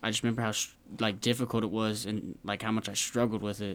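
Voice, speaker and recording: The intonation is monotone and flat. A man delivers it at a fairly quick pace. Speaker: guitarist and guitar teacher. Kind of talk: casual interview chat. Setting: studio.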